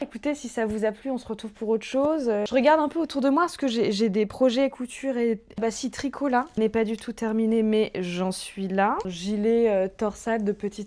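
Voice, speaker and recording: This woman's voice has a fairly high pitch, a dark, mellow tone and ordinary pitch variation. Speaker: sewing vlogger. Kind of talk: casual vlog talk. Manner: loud and fast; hesitant, many filler sounds.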